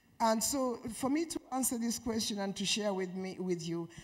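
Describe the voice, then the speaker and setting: With audible room echo, a woman speaks at medium pitch in a somewhat breathy voice with lively intonation. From Uganda. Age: 70s. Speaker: peace and security advisor. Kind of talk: conference panel talk. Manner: slow.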